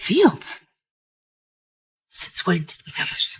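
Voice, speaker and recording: Using a put-on character voice, a woman speaks at a fairly slow pace and a medium pitch. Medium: short film.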